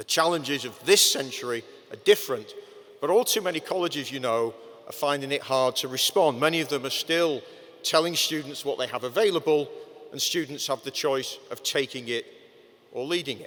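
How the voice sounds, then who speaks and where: Speaking fairly quickly with a Manchester accent, a man uses a fairly high pitch and his loudness swings widely. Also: ordinary pitch variation. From northern England, Manchester. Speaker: commencement speaker. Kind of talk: commencement address.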